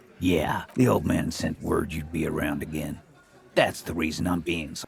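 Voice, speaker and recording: A man puts on a character voice with a very deep, low pitch. His intonation stays fairly even. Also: moderate pace. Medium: video game. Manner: sarcastic, hostile to police.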